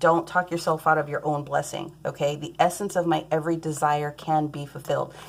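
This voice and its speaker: A woman's fairly low voice at a fairly quick pace. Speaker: tarot reader. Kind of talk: tarot reading. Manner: fast; animated.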